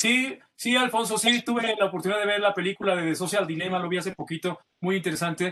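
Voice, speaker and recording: Hardly pausing at all, the speaker talks very fast. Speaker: journalist. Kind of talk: casual panel chat. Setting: video call.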